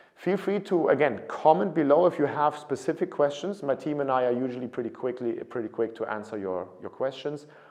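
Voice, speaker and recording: With a German accent, a man talks at a fairly quick pace in a fairly high voice with vocal fry and very wide pitch swings. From Germany. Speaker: study abroad consultant. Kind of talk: informational talk to camera. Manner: casual, some repetitions and self-corrections.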